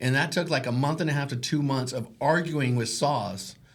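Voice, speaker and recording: Speaking at a moderate pace with an American accent, a man uses a fairly high pitch, ordinary pitch variation, an animated tone and a somewhat breathy delivery. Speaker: realtor and podcast host. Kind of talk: casual chat.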